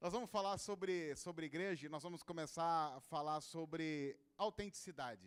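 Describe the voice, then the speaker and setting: A man with a São Paulo interior accent speaks at a moderate pace in a fairly high pitch, his pitch varying in an ordinary way. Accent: caipira accent of inland São Paulo. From interior of São Paulo state, Brazil. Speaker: pastor. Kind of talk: sermon. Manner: informal and humorous.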